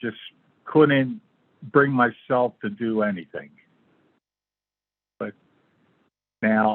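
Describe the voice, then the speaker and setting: A man talks at a very slow pace and leaves long pauses often. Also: medium pitch for a man, ordinary pitch variation. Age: 60s. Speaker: interview guest sharing illness story. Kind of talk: interview testimony. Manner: halting.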